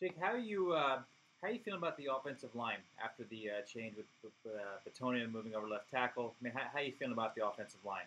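With an American accent, a man speaks at a very fast pace using lively intonation. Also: medium pitch for a man. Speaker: football fan. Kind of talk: casual chat. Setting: studio.

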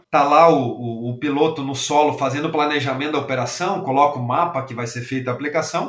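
A man talking at a very fast pace. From southern Brazil, Rio Grande do Sul. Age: 40s. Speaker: agricultural aviation industry executive. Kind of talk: interview.

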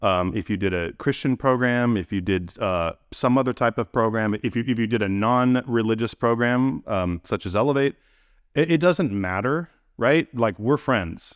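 Recorded with a dry, close sound and no echo, a man with a Californian accent speaks at a medium pitch and a moderate pace with lively intonation. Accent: General American (Californian). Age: 40s. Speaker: addiction treatment administrator and podcast host. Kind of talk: solo monologue podcast. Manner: hesitant with many fillers and repetitions.

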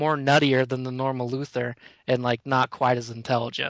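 A man with an unremarkable speaking voice talks at a moderate pace and medium pitch, the sound dry and close with no echo. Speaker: podcast co-host. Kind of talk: casual group chat about pop culture.

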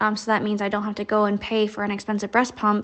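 A woman talks at a fairly quick pace in an American accent. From United States. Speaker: new mother living abroad. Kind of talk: recorded voice note testimony.

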